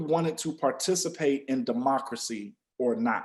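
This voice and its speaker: Very wide pitch swings mark a man's American accent. He speaks at a very slow pace. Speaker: podcast co-host. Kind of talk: podcast discussion.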